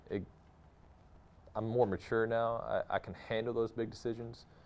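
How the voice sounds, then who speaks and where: A man speaks here. He has a slight Texas accent. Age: 30s. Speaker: actor. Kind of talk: interview monologue.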